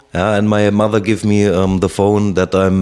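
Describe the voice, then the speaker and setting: A man with a German accent and a fairly low pitch. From Germany (Heidelberg, Konstanz). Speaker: ex-soldier. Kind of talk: interview. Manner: halting, many fillers.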